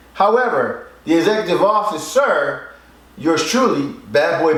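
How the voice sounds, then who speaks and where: A man with an American accent speaks in a high voice with very wide pitch swings. Noticeable background noise and audible room echo surround him. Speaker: record label executive and show host. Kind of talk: casual music critique chat.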